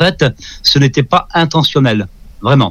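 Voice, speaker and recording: The pace is moderate in a normal speaking voice. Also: man. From France. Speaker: ufologist. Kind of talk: interview.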